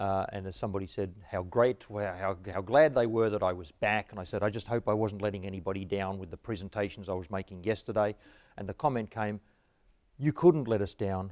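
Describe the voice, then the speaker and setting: In a quiet background, a man speaks at a fairly quick pace with a fairly low pitch. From Australia. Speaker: history professor. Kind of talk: lecture.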